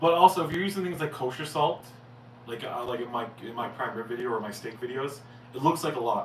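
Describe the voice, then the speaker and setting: In a Newfoundland accent, a man talks at a very fast pace with ordinary pitch variation and big swings in loudness, with audible room echo and noticeable background noise. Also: medium pitch for a man. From Newfoundland, Canada. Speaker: cooking channel host, chef. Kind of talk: casual livestream Q&A. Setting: live stream.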